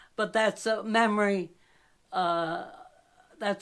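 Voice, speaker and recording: A woman with an American accent speaks at a very slow pace with fairly even intonation. The recording is very clean, with a silent background. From western New York, US (Jamestown), arrived from Albania at 2. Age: 90s. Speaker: elderly interviewee recalling local history. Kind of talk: oral history interview. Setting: at home. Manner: reminiscing, some hesitations.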